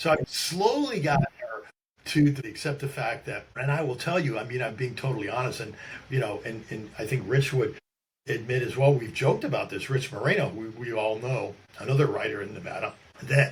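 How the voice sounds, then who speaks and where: A somewhat breathy man with an American accent, medium pitch, ordinary pitch variation and a fairly quick pace. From upstate New York. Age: 60s. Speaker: journalist and author. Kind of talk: interview conversation. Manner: halting, many restarts and fillers.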